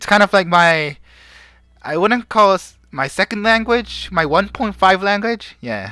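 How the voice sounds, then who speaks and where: In a very clean recording with a silent background, a speaker with a Korean accent talks at a fairly slow pace. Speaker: streamer and fan translator. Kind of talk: live stream chat. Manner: casual, with hesitations.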